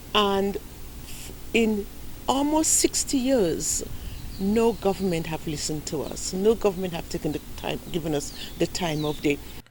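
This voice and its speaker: Her pitch swinging very widely, a woman of medium pitch speaks at a fairly slow pace. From Saint Lucia, Gros Islet. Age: 60s. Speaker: heir in a land dispute. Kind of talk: news interview.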